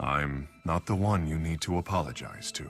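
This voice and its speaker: Over faint music in the background, a man does a put-on character voice, very deep and low, at a moderate pace with ordinary pitch variation. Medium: video game. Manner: calm, grave.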